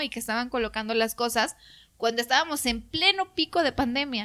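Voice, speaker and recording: A woman with a Mexican accent speaks at a fairly high pitch and moderate pace. Her tone is bright and sharp, with lively intonation. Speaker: TV reporter. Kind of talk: interview.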